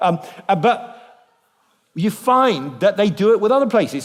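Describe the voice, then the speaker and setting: Over a very clean recording with a silent background, a man speaks with a British accent. His intonation is lively and his pace moderate. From Britain. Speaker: biblical scholar, guest speaker. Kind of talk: church lecture. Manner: lively and humorous.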